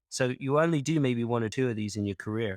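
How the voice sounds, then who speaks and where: This man speaks at a very fast pace with a medium pitch. The recording is very clean, with a silent background. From US South, Kentucky. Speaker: data quality consultant. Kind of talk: podcast interview.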